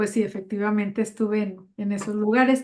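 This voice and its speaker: A woman with a Mexican accent speaks at a moderate pace in a dark, mellow tone, her intonation fairly even. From Mexico. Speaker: novelist. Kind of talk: author Q&A.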